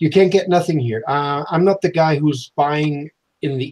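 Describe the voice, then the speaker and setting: In a somewhat breathy voice, a man delivers his words at a fairly slow pace. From Germany. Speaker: model-building channel co-host. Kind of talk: casual live-stream chat. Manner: halting.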